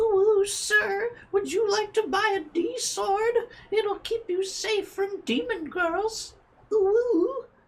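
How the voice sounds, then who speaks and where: In a put-on character voice, the speaker goes at a very slow pace. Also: female-sounding voice, extremely high pitch for a woman. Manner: cutesy, friendly.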